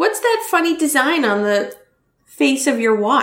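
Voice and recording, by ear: The background is quiet as the speaker reads aloud in a natural voice.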